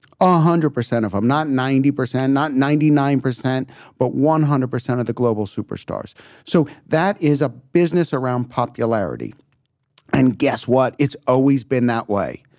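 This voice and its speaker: An unremarkable speaking voice from a man, with medium pitch, ordinary pitch variation, and a moderate pace. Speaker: music company CEO. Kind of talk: interview. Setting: live recording at a conference.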